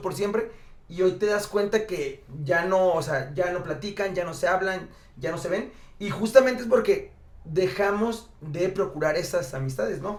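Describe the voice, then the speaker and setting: Over noticeable background noise and audible room echo, a man with a high pitch talks at a moderate pace. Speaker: podcast co-host. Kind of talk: casual chat.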